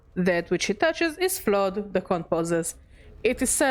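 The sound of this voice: Someone reads in an unforced voice from start to finish.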